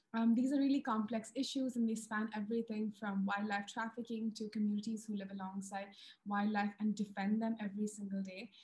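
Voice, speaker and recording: This woman's voice sits at a fairly high pitch, somewhat breathy and monotone, moving at a fairly quick pace. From India. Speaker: wildlife filmmaker and TV presenter. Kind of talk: webinar presentation. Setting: video call. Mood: warm, enthusiastic. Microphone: video call.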